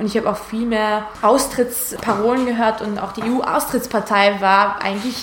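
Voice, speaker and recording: A woman with a fairly high pitch speaks in a monotone, flat way at a moderate pace, with noticeable background noise and audible room echo. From Georgia, partly raised in Hungary. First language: Hungarian / Georgian (speaking German). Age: 20s. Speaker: Europe activist, former actress. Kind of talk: talk mixed with reading aloud from her book. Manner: hesitant, repeats words.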